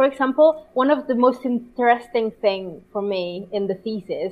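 A woman speaks at a fairly slow pace in a high voice. Her intonation is lively. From Italy. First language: Italian. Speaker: translator. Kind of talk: interview. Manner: halting.

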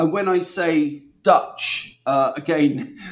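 With lively intonation, a man speaks in an East Anglian accent. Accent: English (East Anglia). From East England. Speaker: historian of language. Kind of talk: interview.

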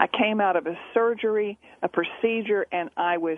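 A woman speaks at a fairly slow pace with ordinary pitch variation in an unremarkable speaking voice. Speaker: poker coach and author. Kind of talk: casual radio interview. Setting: phone or remote radio interview.

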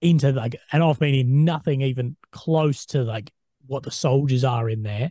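With a dark, mellow tone and a somewhat breathy quality, a man speaks at a moderate pace and medium pitch with ordinary pitch variation, in a dry, close sound with no echo. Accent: Australian. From Australia. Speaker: podcast host. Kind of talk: interview. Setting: video call.

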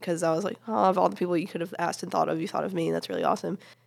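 The recording is very clean, and its background is silent. A woman talks in an American accent. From US South, upstate South Carolina. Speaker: youth ministry teacher, student. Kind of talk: casual chat.

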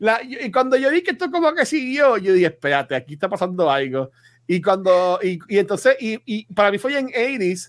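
A voice of very wide pitch swings, very cleanly recorded against silence. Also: man, high pitch for a man, moderate pace. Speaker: podcast host. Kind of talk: casual banter about a movie.

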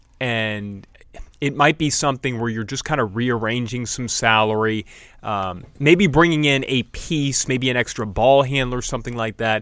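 Here is a man with a plain, everyday voice, medium in pitch. He speaks at a moderate pace on a very clean recording with a silent background. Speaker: sports podcast co-host. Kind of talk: casual sports talk podcast.

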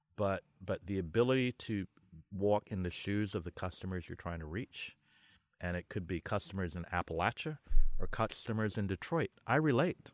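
In a New York accent, the speaker talks at a moderate pace with ordinary pitch variation, the sound dry and close with no echo against a quiet background. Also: man, fairly low pitch for a man. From New York, Brooklyn (Flatbush), born in Barbados. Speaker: marketing executive. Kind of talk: podcast interview. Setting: outdoors at a lake house with small crowd.

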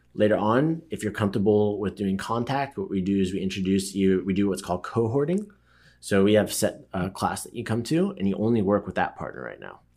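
A man with an unremarkable speaking voice talks at a fairly quick pace and fairly low pitch. His pitch varies in an ordinary way, while his loudness swings widely. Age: 30s. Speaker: martial arts gym owner and coach. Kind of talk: casual interview.

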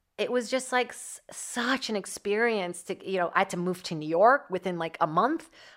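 Recorded very cleanly with a silent background, a woman with a Portuguese accent talks at a moderate pace and medium pitch, with ordinary pitch variation and big swings in loudness. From Brazil. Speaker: podcast host, actor and comedian. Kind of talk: casual monologue. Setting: comedy club studio.

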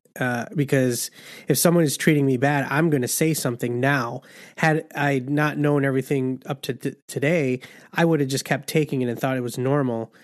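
Man, fairly high-pitched, with fairly even intonation and a moderate pace, has an unremarkable speaking voice. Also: quiet background. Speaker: podcast host. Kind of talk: casual interview.

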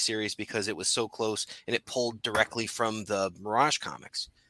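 In an American accent, a man with a fairly low voice and a bright, sharp tone talks at a fairly quick pace, recorded very cleanly with a silent background and a dry, close sound with no echo. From Connecticut. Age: 40s. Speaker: podcast host. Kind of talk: casual chat.

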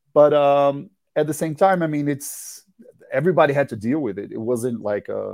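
Fairly quick male speech with a Portuguese accent in a dry, close sound with no echo. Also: very clean recording, silent background. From Brazil. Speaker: rock musician. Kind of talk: interview. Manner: halting.

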